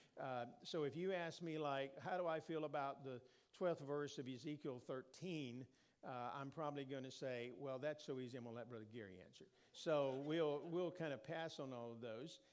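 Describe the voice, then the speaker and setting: A man speaks at a moderate pace in a fairly high voice with a Southern US accent. His pitch varies in an ordinary way, and the room echo is audible. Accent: Southern American. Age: 60s. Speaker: preacher. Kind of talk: informal sermon talk. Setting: church.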